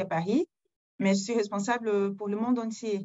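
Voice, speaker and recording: A woman speaks in a Portuguese accent. Her pace is moderate and her intonation fairly even. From Brazil. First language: Portuguese (speaking French). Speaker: corporate HR executive. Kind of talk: webinar self-introduction.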